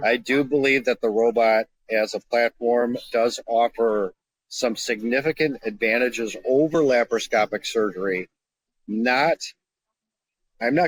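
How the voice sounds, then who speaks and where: A man speaks in an ordinary speaking voice at a medium pitch with ordinary pitch variation. The recording is very clean with a silent background. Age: 60s. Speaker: surgeon. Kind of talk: casual chat.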